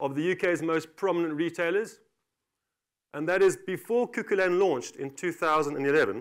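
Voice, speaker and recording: This man has a South African accent and a high pitch. He talks at a fairly quick pace with ordinary pitch variation. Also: very clean recording, silent background. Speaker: company director. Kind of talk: conference talk.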